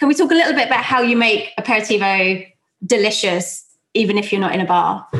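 In a South London accent, a woman talks at a very fast pace with lively intonation. Her pitch is fairly high and her loudness very even. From South London, England. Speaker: podcast host and drinks brand founder.

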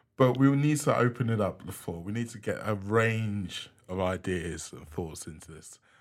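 With an unremarkable speaking voice, a man talks at a moderate pace with hardly any pauses, a fairly low pitch, lively intonation and big swings in loudness, on a very clean recording with a silent background. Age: middle-aged. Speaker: podcast host and DJ. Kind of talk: casual interview chat. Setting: studio.

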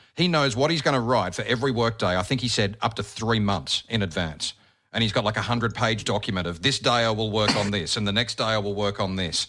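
Speaking in an Australian accent, a man goes at a very fast pace. His tone is bright and sharp, with ordinary pitch variation. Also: fairly low pitch for a man. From Australia, Bathurst NSW. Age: 40s. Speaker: radio host and podcaster. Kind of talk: casual interview chat.

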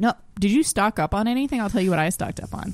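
With a Canadian accent, a woman speaks at a fairly high pitch and with lively intonation. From Ontario. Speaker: comedian. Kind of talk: casual chat.

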